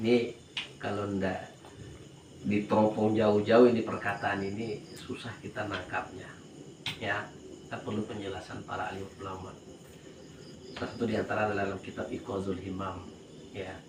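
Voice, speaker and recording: A man speaks at a fairly low pitch in a flat monotone, leaving long, frequent pauses as room echo is audible around him. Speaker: Islamic religious teacher. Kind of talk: religious study lecture. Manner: slow, relaxed; repetitive, explanatory.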